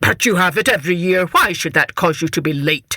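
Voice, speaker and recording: A man puts on a character voice, high in pitch with ordinary variation, and speaks at a fairly quick pace. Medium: read story. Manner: commanding.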